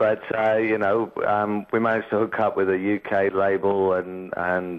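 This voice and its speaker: In an English accent, a man speaks at a moderate pace and a fairly low pitch with monotone, flat intonation. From England. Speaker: rock band singer. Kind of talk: radio interview. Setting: radio studio. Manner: halting, many repeated words.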